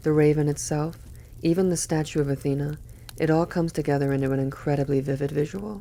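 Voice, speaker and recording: Soft-spoken, a woman talks fairly quickly in a very deep, low voice with a dark, mellow tone. Her intonation is monotone and flat. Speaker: poetry reader. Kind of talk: reading aloud; casual commentary. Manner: relaxed.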